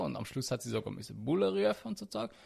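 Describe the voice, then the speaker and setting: His voice is somewhat breathy. The man's pitch swings very widely. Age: 20s. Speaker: podcast co-host. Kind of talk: casual chat.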